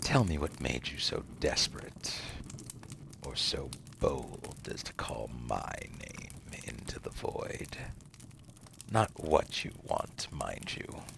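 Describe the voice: This put-on character voice has a fairly bright tone, vocal fry and big pitch swings at a slow pace. Faint background noise sits underneath. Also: man, extremely low pitch for a man.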